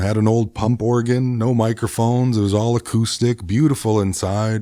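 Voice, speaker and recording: The recording is very clean with a silent background. A man talks at a moderate pace in a dark, mellow tone. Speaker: singer-songwriter, podcast host. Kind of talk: casual interview chat. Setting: studio.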